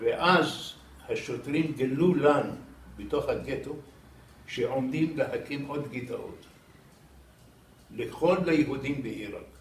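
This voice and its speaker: Through noticeable background noise, a man talks at a very slow pace with long, frequent pauses. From Iraq. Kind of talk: interview answer.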